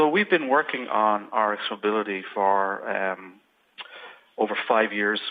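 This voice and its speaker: Speaking with an Irish accent, a man goes at a fairly slow pace with ordinary pitch variation. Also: fairly low pitch for a man. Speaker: software company presenter. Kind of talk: webinar product presentation. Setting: online webinar. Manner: hesitant, with fillers.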